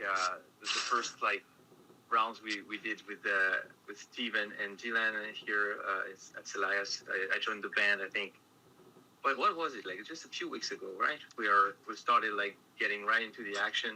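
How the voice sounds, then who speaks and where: Over noticeable background noise, a man with a French accent talks at a moderate pace, his loudness swinging widely. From France. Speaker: metal band guitarist. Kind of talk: interview.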